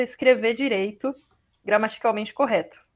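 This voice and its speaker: This woman's voice sits fairly high, with fairly even intonation. The background is quiet. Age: 30s. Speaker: translator. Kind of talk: interview.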